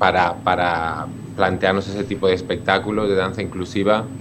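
Against noticeable background noise, a man talks with fairly even intonation. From Spain, Alicante province (San Fulgencio). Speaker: dance company director. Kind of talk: radio interview. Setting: remote connection. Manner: halting, with repetitions.

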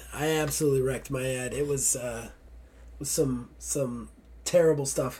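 Somewhat breathy, with a dark, mellow tone, the voice moves at a moderate pace in monotone, flat intonation. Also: man, medium pitch for a man. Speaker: podcast host. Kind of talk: casual banter podcast. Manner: irritated, grumpy, swears a lot; tired, low energy.

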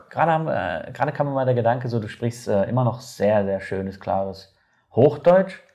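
A man with a medium pitch and a somewhat breathy voice speaks at a moderate pace with lively intonation. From Germany. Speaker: podcast host. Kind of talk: casual interview. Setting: on camera.

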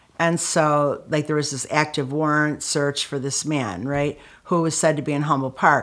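With a Chicago accent, a woman speaks at a very deep, low pitch in fairly even intonation, recorded very cleanly against a silent background. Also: moderate pace. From Chicago, US Midwest. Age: 60s. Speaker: author and anti-violence activist. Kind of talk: interview storytelling. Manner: casual, filler-heavy.

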